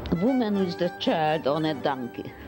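A woman speaks in a fairly low voice, her pitch swinging very widely. Music is clearly heard in the background. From Hungary. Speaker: photographer. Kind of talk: interview answer. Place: home room. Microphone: handheld.

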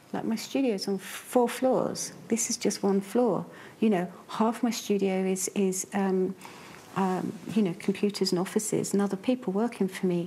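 A woman speaks at a moderate pace with fairly even intonation, her somewhat breathy voice dark and mellow in tone over light background noise. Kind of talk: interview answer. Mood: earnest, matter-of-fact. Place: workshop. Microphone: lapel.

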